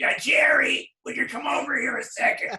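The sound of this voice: A man in a put-on character voice, guttural and extremely high in pitch, at a moderate pace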